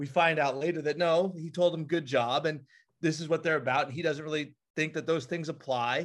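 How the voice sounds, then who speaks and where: Over a quiet background, a man with a plain, everyday voice speaks fairly quickly, his fairly high pitch holding fairly even intonation. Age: 30s. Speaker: high school athletic director and sports broadcaster. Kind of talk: casual chat.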